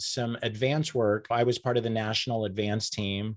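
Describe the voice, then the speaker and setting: A man's medium-pitched, plain, everyday voice at a moderate pace, over a quiet background. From Oklahoma, Enid. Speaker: communications consultant. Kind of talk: interview.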